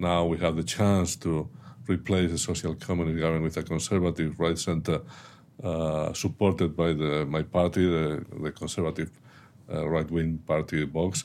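A man with a Spanish accent, very deep and low in pitch, monotone and flat in intonation, on a very clean recording with a silent background. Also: moderate pace. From Spain. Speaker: strategic analyst, former national security advisor. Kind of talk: interview. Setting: studio.

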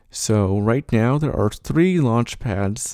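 A man with a fairly low pitch and a dark, mellow tone speaks with ordinary pitch variation on a very clean recording with a silent background. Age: 20s. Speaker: student podcast host. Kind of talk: solo podcast narration. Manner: casual, with frequent filler words.

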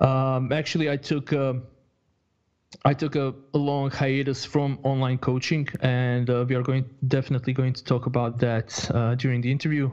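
The delivery is monotone and flat, with a Croatian accent. It moves at a moderate pace. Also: man, medium pitch for a man. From Croatia (born in Bosnia). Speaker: online fitness coach. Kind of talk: interview. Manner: halting, many fillers and repetitions.

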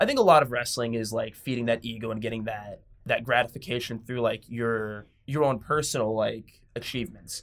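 Using a plain, everyday voice, a man with an American accent talks at a medium pitch and a fairly quick pace, with fairly even intonation and hardly any pauses. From Washington State, US (Tacoma). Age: 30s. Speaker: professional wrestler and wrestling coach. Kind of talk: casual interview. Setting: studio.

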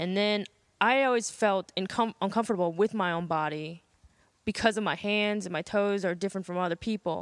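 A woman speaks with an American accent in a plain, everyday voice at a medium pitch. Her intonation stays fairly even, and the recording is very clean with a silent background. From US North. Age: 30s. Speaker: interview guest. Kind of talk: casual interview.

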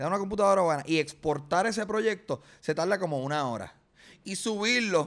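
A man with a high voice speaks at a moderate pace with lively intonation. The recording is very clean, the background silent. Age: 30s. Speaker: comedian. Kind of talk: casual interview. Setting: studio.

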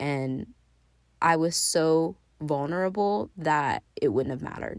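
In a very clean recording with a silent background, a woman with an ordinary speaking voice talks at a fairly slow pace and a fairly low pitch. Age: 30s. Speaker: podcast host. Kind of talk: personal storytelling monologue.

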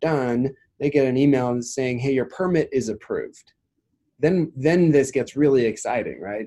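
A man with an American accent, fairly high pitch, a dark, mellow tone, ordinary pitch variation, and a moderate pace. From US Midwest / West (South Dakota, Oregon). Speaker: tech startup founder. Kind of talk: casual interview.

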